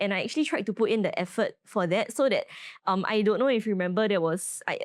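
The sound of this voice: Speaking fast, a woman uses lively intonation at a medium pitch. The recording is very clean with a silent background.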